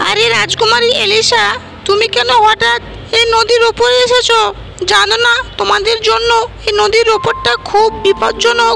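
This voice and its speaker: A cartoonish character voice moves at a moderate pace while clear music plays in the background. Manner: reassuring, earnest.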